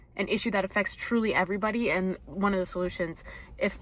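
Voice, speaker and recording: The recording is very clean, with a silent background. The voice has a bright, sharp tone and a fairly quick pace. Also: woman. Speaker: vlogger. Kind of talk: casual vlog review. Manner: animated.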